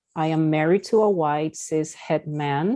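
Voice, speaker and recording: With a Spanish accent, a woman speaks in a dark, mellow tone at a very deep, low pitch, with ordinary pitch variation over a quiet background. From Peru. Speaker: therapist. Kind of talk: lecture.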